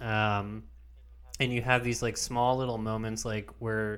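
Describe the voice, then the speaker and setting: A man speaks at a fairly slow pace in a normal speaking voice, his pitch medium. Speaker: podcast host. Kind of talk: casual chat.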